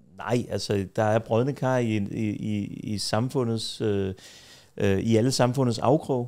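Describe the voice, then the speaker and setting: The voice moves at a fairly slow pace with fairly even intonation and a dark, mellow tone over a quiet background. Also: man. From Denmark, Copenhagen (Tingbjerg); Denmark. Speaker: defence lawyer. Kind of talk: casual interview. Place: home room. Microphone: studio mic.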